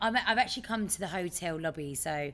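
A woman speaks at a fairly quick pace in a fairly low pitch. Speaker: podcast co-host calling in remotely. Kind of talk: casual podcast chat. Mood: cheerful, laughing. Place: hall.

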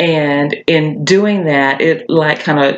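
This woman's voice sits at a very deep, low pitch. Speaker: tarot reader. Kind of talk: casual tarot reading talk. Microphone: webcam.

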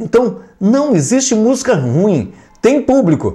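In a quiet background, a man's dark, mellow voice swings very widely in pitch. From Brazil. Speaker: YouTube music commentator. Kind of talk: casual vlog commentary. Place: home room. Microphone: lapel.

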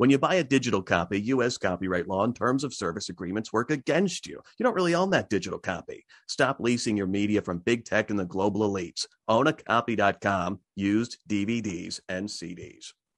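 In a dry sound with no echo and a quiet background, a man talks at a fairly quick pace with hardly any pauses, using lively intonation at a fairly low pitch. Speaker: show host. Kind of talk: interview. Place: home room. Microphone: studio mic.

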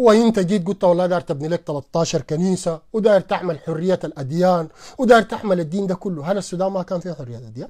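With a Sudanese accent, a man talks at a very fast pace in a high voice with a dark, mellow tone. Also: quiet background. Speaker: political commentator. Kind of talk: live stream monologue. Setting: online live stream. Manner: animated. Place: home room. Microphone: lapel.

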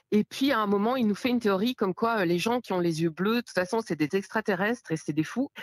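A woman with a medium pitch talks very fast with hardly any pauses and ordinary pitch variation, captured in a very clean recording with a silent background and a dry, close sound with no echo. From Belgium. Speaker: podcast listener calling in. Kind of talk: casual chat.

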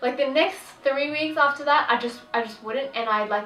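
Speaking at a moderate pace with ordinary pitch variation, a woman is heard with audible room echo. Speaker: vlogger. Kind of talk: casual vlog chat. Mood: candid, reflective storytelling. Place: home room.

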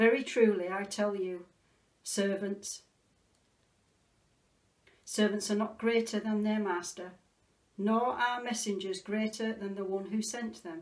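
The speaker moves at a fairly slow pace with fairly even intonation and long, frequent pauses. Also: woman. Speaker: clergy reader. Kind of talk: scripture reading. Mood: calm, solemn. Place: home room. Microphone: phone near.

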